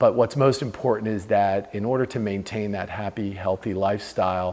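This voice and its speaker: Fairly low in pitch, a man speaks in a plain, everyday voice with fairly even intonation. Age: 40s. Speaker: senior vice president at a tech company. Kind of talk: patient testimonial.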